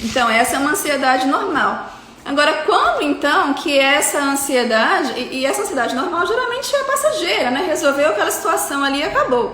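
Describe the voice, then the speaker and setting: In a raised, projected voice, a woman with a high pitch and lively intonation talks at a fairly quick pace with hardly any pauses, amid audible room echo and noticeable background noise. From Rio de Janeiro, Brazil. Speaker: psychiatrist. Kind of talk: lecture. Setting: live stream.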